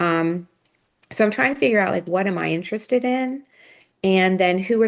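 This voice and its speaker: An unremarkable speaking voice at a moderate pace with ordinary pitch variation over a quiet background. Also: woman. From US, Pittsburgh. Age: 60s. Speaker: retired nonprofit leader. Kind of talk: casual interview chat.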